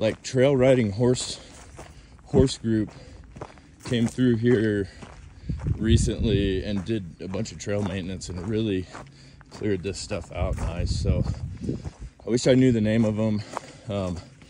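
A man at a fairly low pitch and fairly slow pace, with ordinary pitch variation and long, frequent pauses, in a dry sound with no echo and noticeable background noise. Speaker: trail runner vlogger. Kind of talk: casual vlog chat. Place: open country. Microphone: phone near.

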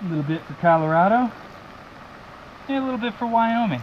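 A man talking at a fairly quick pace over light background noise. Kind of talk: casual vlog chat. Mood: cheerful, excited. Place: forest. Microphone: phone near.

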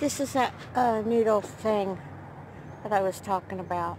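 A woman speaks over noticeable background noise. The sound is dry, with no echo. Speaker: van-life vlogger. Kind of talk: casual vlog chat. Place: car. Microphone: phone near.

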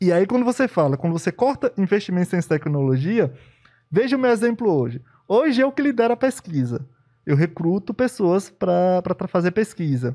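Over a quiet background, a man with a high pitch and a dark, mellow tone speaks at a moderate pace with very wide pitch swings and very even loudness. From Brazil, Bahia backcountry (sertão). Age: 30s. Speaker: immunologist; podcast guest. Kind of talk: casual interview. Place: studio. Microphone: studio mic.

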